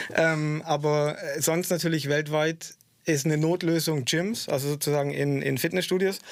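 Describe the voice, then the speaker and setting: The speaker is a man with a fairly high pitch. He keeps a moderate pace and fairly even intonation. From southwest Germany (Stuttgart area). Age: 40s. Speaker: stuntman. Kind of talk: radio interview. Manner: hesitant, many filler sounds.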